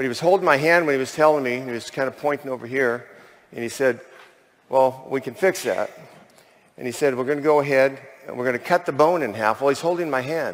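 Talking at a very fast pace, a man with a fairly high pitch speaks with an American accent. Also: ordinary pitch variation. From US West Coast. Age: 60s. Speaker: chimney sweep. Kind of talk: testimony. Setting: stage with audience. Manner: animated. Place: stage. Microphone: headset.

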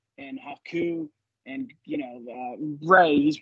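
Pitched fairly high, a man speaks with ordinary pitch variation in a normal speaking voice. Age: 30s. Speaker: wrestling podcaster. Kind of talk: casual chat.

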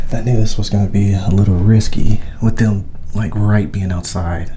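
A man speaks with ordinary pitch variation. Light background noise sits under his voice. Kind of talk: casual vlog chat. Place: empty room. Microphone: phone near.

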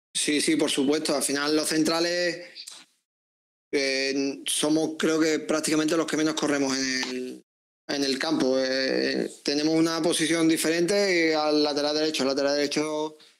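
The voice carries an Andalusian accent and monotone, flat intonation. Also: man, fairly high pitch for a man, fairly slow pace. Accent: Andalusian (Seville), kept. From Seville, Andalusia. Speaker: footballer; guest. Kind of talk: interview. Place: home room. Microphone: earbuds.

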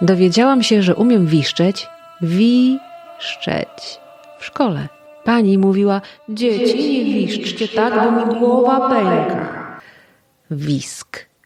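With music in the background, a woman of medium pitch speaks at a very slow pace, her pitch swinging very widely. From Podlasie, eastern Poland. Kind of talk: poetic podcast narration.

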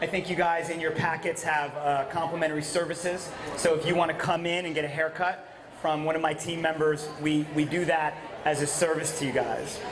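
A man speaks fairly quickly with monotone, flat intonation. There is noticeable background noise. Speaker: presenter. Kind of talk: conference talk. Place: hall. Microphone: handheld.

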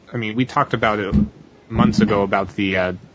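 A man with a fairly low pitch and ordinary pitch variation, over noticeable background noise. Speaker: podcast panelist. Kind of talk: casual chat.

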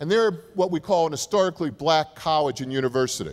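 Against a quiet background, a man with a New Jersey accent talks at a fairly quick pace in a fairly high pitch with lively intonation. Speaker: university president; keynote speaker. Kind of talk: keynote speech. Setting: stage with audience. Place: hall. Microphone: podium.

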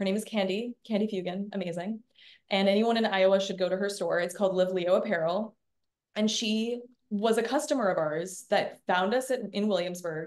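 Her pitch shows ordinary variation. The woman talks at a fairly quick pace. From Canada. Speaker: fashion entrepreneur; guest. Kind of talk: interview. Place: kitchen. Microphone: webcam.

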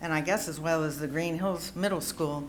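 A woman with an American accent talks at a fairly low pitch. Audible echo fills the room around her. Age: 60s. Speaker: health professional, public commenter. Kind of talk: public comment at board meeting. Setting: school board meeting, podium.

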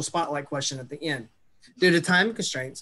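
The tone is bright and sharp. Pitch moves in an ordinary way. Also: man. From Mississippi, US South. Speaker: social worker, transition specialist; webinar presenter. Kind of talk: webinar presentation. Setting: video call. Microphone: webcam.

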